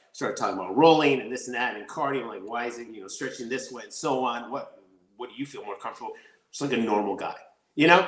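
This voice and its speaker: A man's medium-pitched voice at a very fast clip, with audible room echo, big swings in loudness and ordinary pitch variation. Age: 40s. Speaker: martial artist and actor. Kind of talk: interview. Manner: animated.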